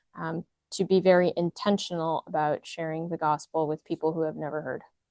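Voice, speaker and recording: In an American accent, a woman with a fairly low voice talks at a fairly quick pace in a flat monotone. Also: dry, close sound with no echo. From United States. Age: 20s. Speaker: veterinarian and missionary field worker. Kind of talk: interview testimony. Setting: recorded at a conference. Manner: hesitant with many fillers.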